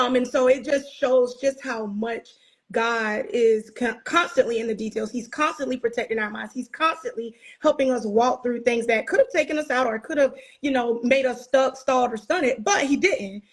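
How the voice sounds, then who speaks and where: With an American accent, a woman talks at a moderate pace. Her pitch is high, with ordinary pitch variation. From South Carolina. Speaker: podcast host. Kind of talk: casual chat. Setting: video call.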